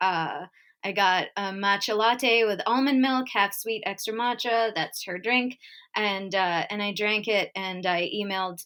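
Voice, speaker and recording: A woman with a Canadian accent and an unremarkable speaking voice speaks at a fairly slow pace, medium in pitch with ordinary pitch variation. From Winnipeg, Manitoba, Canada. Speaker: comedian and storyteller. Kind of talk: personal story performance.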